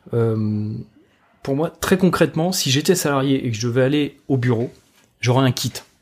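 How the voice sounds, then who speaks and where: A man at medium pitch, with ordinary pitch variation, speaks with long, frequent pauses. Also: moderate pace, very clean recording, silent background. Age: 40s. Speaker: energy design consultant and trainer. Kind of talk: casual interview. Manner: hesitant, many fillers and restarts.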